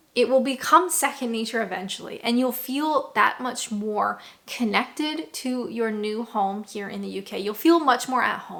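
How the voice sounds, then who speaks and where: Someone with a Canadian accent and a bright, sharp tone speaks at a moderate pace with ordinary pitch variation, hardly any pauses and big swings in loudness. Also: woman. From Canada. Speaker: vlogger. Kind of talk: vlog advice talk.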